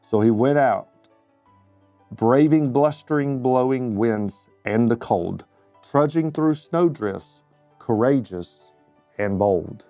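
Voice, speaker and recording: With music playing behind him, a man of medium pitch and ordinary pitch variation speaks at a very slow pace, leaving long, frequent pauses and keeping his loudness very even. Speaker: community member reading a children's book. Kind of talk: children's bedtime story reading.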